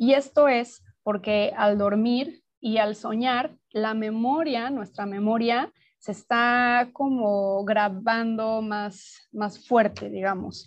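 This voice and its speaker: A woman speaks at a very slow pace with hardly any pauses. Her pitch is fairly high and her intonation fairly even. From Mexico City. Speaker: dream researcher and teacher. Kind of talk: interview.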